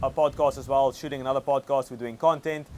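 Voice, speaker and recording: A man speaks very fast with monotone, flat intonation. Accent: South African. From South Africa. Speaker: agency owner and online coach. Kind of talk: interview. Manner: casual, filler-heavy.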